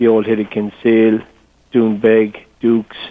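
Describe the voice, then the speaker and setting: This man has an Irish accent. His intonation is flat and monotone. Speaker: golf tourism representative. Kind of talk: interview. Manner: hesitant, repeats words.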